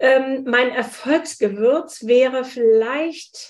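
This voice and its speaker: This woman's voice sits high in pitch. Her pitch moves in an ordinary way. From Hesse, Wiesbaden. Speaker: spice shop owner and entrepreneur. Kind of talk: interview. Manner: hesitant, many fillers.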